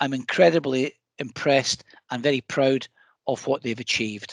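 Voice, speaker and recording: In a Scottish accent, a man speaks at a moderate pace, the sound dry and close with no echo and the background quiet. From Scotland. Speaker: council executive. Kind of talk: scripted presentation.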